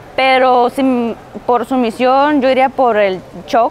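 Light background noise sits behind the recording. Through it, a woman talks in a high voice. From Mexico, Tijuana; Mexico. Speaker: MMA fighter. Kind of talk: interview answers. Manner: casual, with fillers and repetitions. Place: studio. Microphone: lapel.

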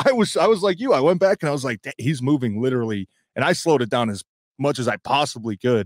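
A man talks at a very fast pace with very wide pitch swings, the sound dry with no echo and the background quiet. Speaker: former NFL player and sports show co-host. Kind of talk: casual sports talk. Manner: rambling with many fillers. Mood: upbeat, excited about the win. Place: home room. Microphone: handheld.

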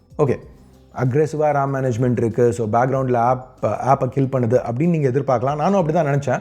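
In a quiet background, a man talks at a fairly high pitch with a dark, mellow tone. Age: 30s. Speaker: tech YouTuber. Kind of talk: tech review. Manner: conversational.

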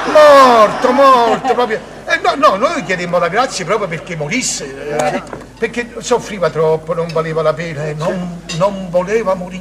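Loud background noise fills the clip as a man speaks at a moderate pace. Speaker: stage actor in character. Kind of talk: theatrical monologue, comic storytelling. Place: studio. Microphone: camera far.

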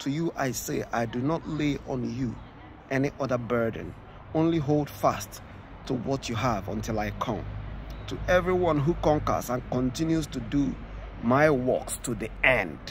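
A man at a fairly slow pace, the sound dry with no echo, over light background noise. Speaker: preacher. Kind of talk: scripture reading with sermon commentary. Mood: earnest, warning tone. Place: open country. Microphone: phone near.

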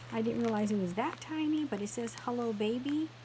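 At a moderate pace, the voice has a slightly mellow tone and ordinary pitch variation. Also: woman.

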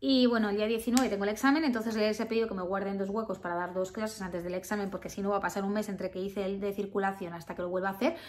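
A woman's very fast speech at medium pitch, ordinary pitch variation, and noticeable background noise behind it. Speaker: vlogger. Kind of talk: casual vlog talk. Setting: at home.

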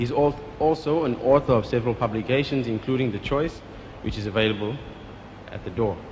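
Light background noise sits behind a man whose pitch varies in an ordinary way. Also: fairly quick pace. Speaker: event host. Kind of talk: formal introduction. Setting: stage with audience. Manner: formal. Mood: respectful, earnest.

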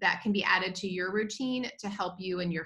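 The background stays quiet as a woman talks. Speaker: presenter. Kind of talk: webinar talk. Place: home room. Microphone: video call.

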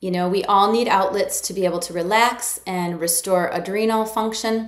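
A woman speaks at a moderate pace against a quiet background, with audible room echo. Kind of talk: educational talk to camera. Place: office. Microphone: phone near.

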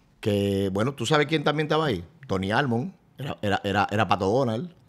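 A man speaks with lively intonation. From Dominican Republic. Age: 40s. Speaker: event host and radio presenter; event host, radio presenter. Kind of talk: casual chat. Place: studio. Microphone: studio mic.

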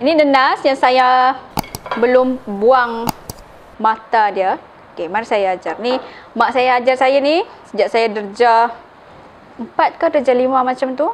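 Over light background noise, the speech moves at a very slow pace with long, frequent pauses and ordinary pitch variation. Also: woman, high pitch for a woman. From Sabah, Malaysia. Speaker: cooking channel host. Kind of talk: cooking tutorial. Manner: casual, frequent fillers like okey. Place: kitchen.

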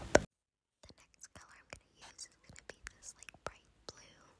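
Whispering from a woman, with noticeable background noise around it. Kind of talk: ASMR nail art voiceover. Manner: whispered; rambling, casual.

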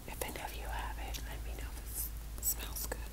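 Soft-spoken and whispering, the voice moves at a moderate pace. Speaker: catalog flip-through host. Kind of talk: casual page-through narration. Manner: soft ASMR whisper while chewing gum. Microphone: phone near.

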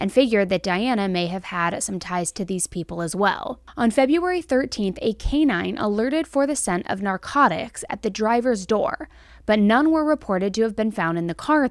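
A woman talks at a moderate pace with very wide pitch swings. The sound is dry with no echo, over a quiet background. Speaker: true crime host. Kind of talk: commentary. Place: home room. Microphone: studio mic.

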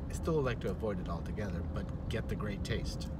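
A man is speaking in a dry sound with no echo. Noticeable background noise runs behind him. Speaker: vlogger. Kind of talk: casual vlog chat. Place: car. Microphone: phone near.

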